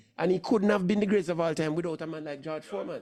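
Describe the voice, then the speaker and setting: A man speaks in an animated tone at a high pitch, with ordinary pitch variation. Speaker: sports talk show host. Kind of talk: casual sports commentary chat.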